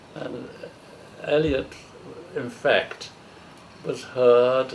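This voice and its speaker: Over noticeable background noise, a man speaks at a medium pitch in a London accent. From East End of London, England. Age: 80s+. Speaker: poet. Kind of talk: interview. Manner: halting.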